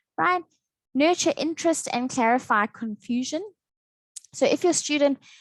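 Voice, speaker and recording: Her voice high for a woman, she speaks with lively intonation in a dry, close sound with no echo. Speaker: English teacher trainer. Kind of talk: training session lecture. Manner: fast.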